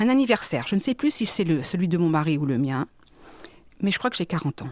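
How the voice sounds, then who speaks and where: A woman's voice with vocal fry and very wide pitch swings. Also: very clean recording, silent background. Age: 50s. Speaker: business consultant and psychic. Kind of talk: interview testimony. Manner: halting, with many repetitions and fillers.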